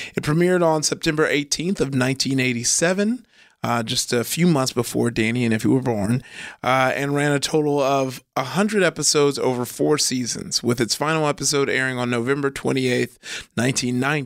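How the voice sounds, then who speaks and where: A man talks in a normal speaking voice at a fairly high pitch and a fairly quick pace. His pitch variation is ordinary and his loudness very even. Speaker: podcast host. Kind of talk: casual chat. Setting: studio. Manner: upbeat, laughs often.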